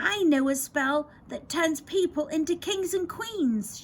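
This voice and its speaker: A put-on character voice from a woman, pitched extremely high and delivered fairly slowly. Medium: read story.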